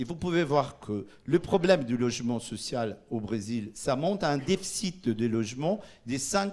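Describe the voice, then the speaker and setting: A man with a Portuguese accent speaks with lively intonation. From Brazil. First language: Portuguese (speaking French). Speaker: urban policy official. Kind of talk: conference presentation. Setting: conference in Paris. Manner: halting, many hesitations.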